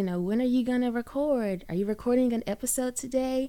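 On a very clean recording with a silent background, a woman with a Southern US accent speaks in an animated tone at a moderate pace with ordinary pitch variation. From US South, Birmingham, Alabama. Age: 20s. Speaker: podcast host. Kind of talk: solo podcast monologue.

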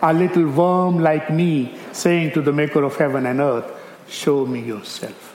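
Noticeable background noise sits behind a man speaking at a fairly slow pace, fairly high in pitch, with fairly even intonation. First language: not English; English is his third language. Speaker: missionary preacher. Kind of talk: sermon. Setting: church.

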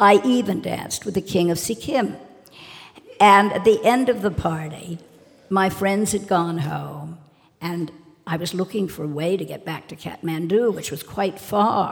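In a normal speaking voice, a woman of medium pitch speaks at a fairly slow pace with ordinary pitch variation and big swings in loudness. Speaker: socialite. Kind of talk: live storytelling. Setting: stage with audience.

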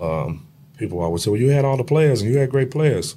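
A man's dark, mellow, somewhat breathy voice, fairly quick in pace, with very wide pitch swings. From Chicago, west side. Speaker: retired high school basketball coach. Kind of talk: casual interview chat.

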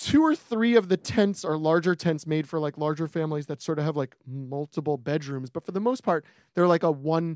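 A normal speaking voice with an American accent, a fairly quick pace and ordinary pitch variation, recorded with a quiet background and a dry, close sound with no echo. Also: man. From New York. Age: 40s. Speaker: podcast co-host. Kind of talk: casual chat.

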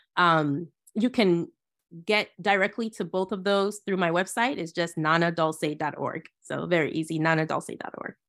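Recorded very cleanly against a silent background, a woman with an American accent speaks at a moderate pace in a fairly low pitch with ordinary pitch variation. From Ghana, then US from age ten. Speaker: Bible teacher and author. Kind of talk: interview conversation. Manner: halting, many fillers.

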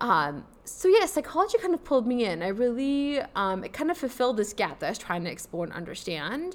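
With a Midwestern American accent, a woman speaks at a high pitch with very wide pitch swings, a fairly quick pace and hardly any pauses. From US Midwest (suburban Chicago). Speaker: psychology professor. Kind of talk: interview conversation.

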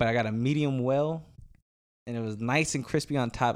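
On a very clean recording with a silent background, a man with an American accent talks at medium pitch and a moderate pace, his intonation fairly even. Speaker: podcast co-host. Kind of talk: casual chat. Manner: loud.

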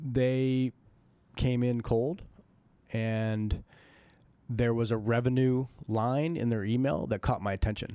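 A man with an American accent speaks very slowly, leaving long, frequent pauses, at a medium pitch with fairly even intonation. His tone is dark and mellow, on a very clean recording with a silent background. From Colorado. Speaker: venture capital investor. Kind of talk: interview conversation.

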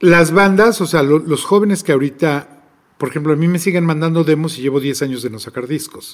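With an ordinary speaking voice and a fairly high pitch, a man talks at a fairly quick pace with ordinary pitch variation. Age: 50s. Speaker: record label director and festival promoter. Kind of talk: interview.

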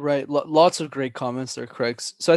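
In a normal speaking voice, a man with a medium pitch talks at a fairly quick pace with ordinary pitch variation against a quiet background. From Montreal, Canada. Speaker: public speaking coach. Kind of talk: casual chat.

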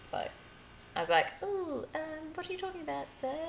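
The voice moves at a fairly quick pace through very wide pitch swings. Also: woman. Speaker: florist. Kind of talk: casual chat.

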